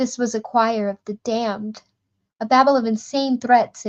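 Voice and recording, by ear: With fairly even intonation, the text is read aloud in a natural voice. Quiet surrounds the speaker.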